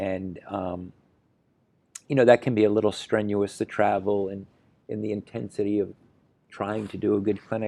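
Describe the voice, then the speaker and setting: Against a quiet background, a man with a dark, mellow tone and fairly low pitch talks at a moderate pace in a monotone, flat way, with long, frequent pauses and big swings in loudness. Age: 60s. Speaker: horse riding trainer. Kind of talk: interview. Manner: halting, many fillers and repetitions.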